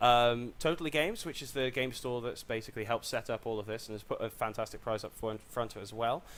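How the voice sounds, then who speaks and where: A man with an English accent talks at a very fast pace with hardly any pauses, at medium pitch with ordinary pitch variation. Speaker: stream commentator. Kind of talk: live commentary. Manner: loud; animated.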